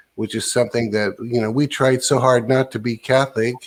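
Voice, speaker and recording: The delivery moves at a moderate pace with fairly even intonation. It is an ordinary speaking voice. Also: man. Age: 60s. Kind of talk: casual chat.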